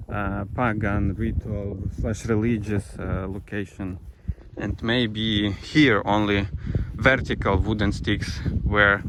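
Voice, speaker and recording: Noticeable background noise sits under a voice with a Ukrainian accent. The pace is very slow and the intonation fairly even. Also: man, fairly low pitch for a man. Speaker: travel vlogger. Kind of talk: vlog narration on site. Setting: outdoors. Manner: halting.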